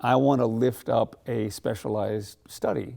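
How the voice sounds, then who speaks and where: A man speaks with vocal fry and a dark, mellow tone. The recording is very clean, with a silent background. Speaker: musical theatre professor. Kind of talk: interview. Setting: theater.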